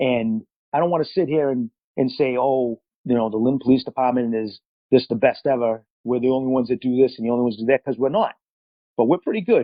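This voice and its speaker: At a very fast pace, a man with a Boston accent speaks at medium pitch with ordinary pitch variation. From Massachusetts, Boston area. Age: 40s. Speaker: police officer. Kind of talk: interview.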